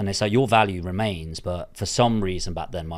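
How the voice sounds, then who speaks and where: Here is a man with a very deep, low pitch and a southern English accent. His intonation is fairly even. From southern England. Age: 30s. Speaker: property investor. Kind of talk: interview. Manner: casual, sweary.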